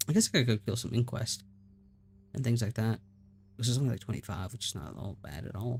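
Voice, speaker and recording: Using vocal fry and a Southern US accent, a man talks at a very fast pace broken by long, frequent pauses. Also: medium pitch for a man, ordinary pitch variation. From US South. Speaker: gaming streamer. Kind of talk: live stream commentary. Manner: casual, halting with fillers. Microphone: good mic.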